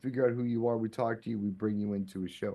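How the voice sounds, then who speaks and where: Here is a plain, everyday voice. It moves at a fairly quick pace. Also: man. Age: middle-aged. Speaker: DJ, podcast guest. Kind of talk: casual chat.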